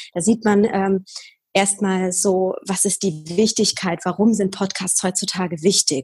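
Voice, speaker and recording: Against a quiet background, the somewhat breathy voice moves at a fairly slow pace with fairly even intonation. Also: woman. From Bavaria, near Munich. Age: 20s. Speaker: podcaster. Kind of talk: interview.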